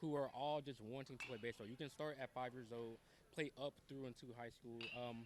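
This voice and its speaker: This man has an unremarkable speaking voice, talking at a fairly quick pace with fairly even intonation and a medium pitch. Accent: American. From Ohio, Dayton area. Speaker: high school baseball coach. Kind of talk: interview.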